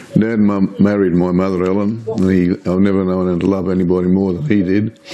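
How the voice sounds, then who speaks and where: Over noticeable background noise, a man speaks in a very deep, low pitch with monotone, flat intonation. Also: fairly quick pace. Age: 80s+. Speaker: retired police officer. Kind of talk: oral history interview. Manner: halting.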